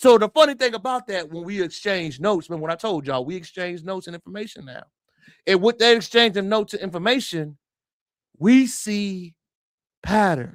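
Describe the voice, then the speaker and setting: The recording is very clean with a silent background. A man speaks in a high pitch with an animated tone and lively intonation. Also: fairly quick pace, big swings in loudness. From United States. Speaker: livestream commentator. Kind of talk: live stream commentary.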